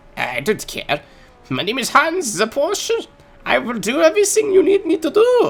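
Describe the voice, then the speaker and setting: A high, put-on character voice with a German accent as part of the act. It moves at a moderate pace. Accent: German, exaggerated. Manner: eager, servile.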